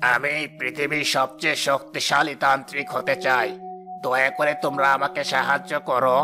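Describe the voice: A man's cartoonish character voice, fairly high in pitch, at a moderate pace with ordinary pitch variation and very even loudness, over clear background music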